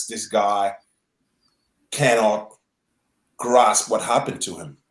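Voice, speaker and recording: A man speaks with a French accent at a medium pitch. His intonation stays fairly even. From French Guiana. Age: 40s. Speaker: tennis journalist. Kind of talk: podcast interview. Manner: halting, many fillers and repeats.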